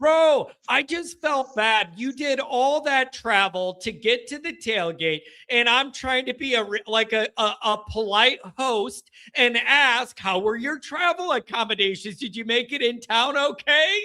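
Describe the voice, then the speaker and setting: Extremely high in pitch, a man's raised, projected voice sounds bright and sharp as he speaks at a fairly slow pace with hardly any pauses. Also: lively intonation. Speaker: sports show host. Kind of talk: live call-in show. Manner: loud, yelling.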